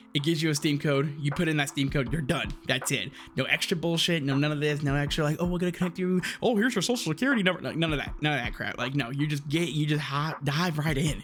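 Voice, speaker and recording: Music plays behind a man who speaks in an excited tone at a fairly high pitch with ordinary pitch variation. He goes at a very fast pace with hardly any pauses. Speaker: gaming streamer. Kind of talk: casual video commentary. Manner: stuttering, excited.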